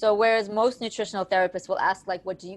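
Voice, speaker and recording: A woman speaks with an American accent at a medium pitch. Her intonation stays fairly even against a quiet background. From United States. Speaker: nutritional hypnotherapist and coach. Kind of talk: interview.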